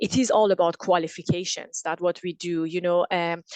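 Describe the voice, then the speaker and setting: In a Persian accent, a woman with a medium-pitched voice speaks at a moderate pace in a monotone, flat way, with a dry, close sound and no echo. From Iran. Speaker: engineer. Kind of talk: interview. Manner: halting, frequent repetitions.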